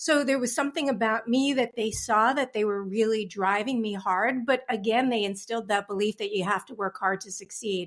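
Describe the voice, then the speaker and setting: With an American accent and an unremarkable speaking voice, a woman talks at a fairly quick pace in a fairly high pitch, on a very clean recording with a silent background. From Long Island, New York. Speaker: business coach. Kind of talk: interview.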